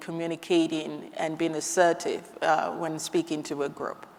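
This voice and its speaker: Amid noticeable background noise, a woman talks at a fairly slow pace in a fairly low pitch with monotone, flat intonation. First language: not English. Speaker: scrum professional. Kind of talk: panel discussion. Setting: stage with audience.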